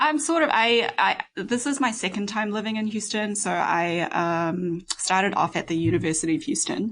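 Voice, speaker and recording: A woman with a New Zealand accent talks at a moderate pace and medium pitch, with hardly any pauses. Her intonation is lively, and the background is quiet. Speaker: musician, ensemble founder. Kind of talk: podcast interview. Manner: hesitant, many fillers.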